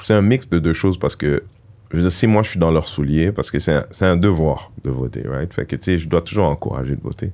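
Vocal fry colors a man's dark, mellow tone and very deep, low pitch. He moves at a fairly quick pace with lively intonation. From Montreal, Quebec (Haitian parents). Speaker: comedian and activist. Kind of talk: casual interview chat.

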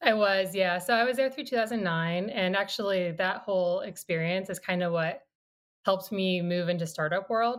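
With an American accent and a normal speaking voice, a woman talks at a moderate pace and medium pitch with ordinary pitch variation in a very clean recording with a silent background. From US Midwest, small-town Iowa. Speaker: company founder and CEO. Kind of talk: interview.

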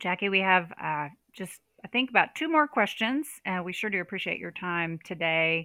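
A normal speaking voice, a woman's at a medium pitch and moderate pace with lively intonation. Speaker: podcast host. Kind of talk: interview.

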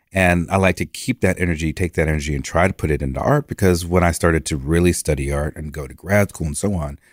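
A man with an American accent speaks in a very deep, low pitch with vocal fry. The recording is very clean with a silent background and a dry, close sound with no echo. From New York. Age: 50s. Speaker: artist. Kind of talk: interview. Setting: studio.

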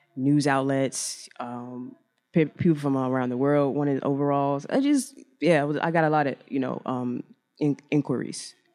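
Someone with an American accent speaks at a moderate pace with music playing in the background. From Chicago. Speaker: fashion designer. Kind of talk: interview. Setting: live event at a hotel. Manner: halting.

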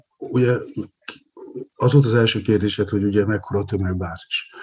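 This man's voice is fairly low and somewhat breathy. His intonation stays fairly even. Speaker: sports economist, university lecturer. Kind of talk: casual chat.

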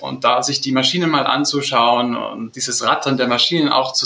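With noticeable background noise, a man of medium pitch talks at a moderate pace with fairly even intonation. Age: 20s. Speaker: product development head of family business. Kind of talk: interview.

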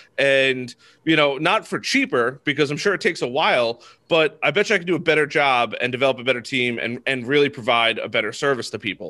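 With an American accent, a man speaks at a very fast pace and a fairly high pitch, with ordinary pitch variation. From Long Island, New York. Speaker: marketing agency founder. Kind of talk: casual interview. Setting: home office.

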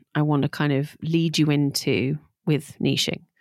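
In an East Midlands accent, a woman speaks at a fairly slow pace with a very deep, low pitch and ordinary pitch variation, in a dry, close sound with no echo. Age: 40s. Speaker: podcast host, digital marketing coach. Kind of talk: solo podcast monologue, business advice. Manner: casual, conversational.

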